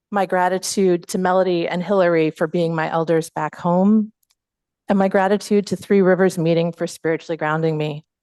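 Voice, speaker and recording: Dry and close with no echo, a woman's fairly low voice moves at a fairly quick pace with fairly even intonation. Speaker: Quaker speaker and former teacher. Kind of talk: plenary talk. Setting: hall with audience, also streamed on video call. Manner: fast.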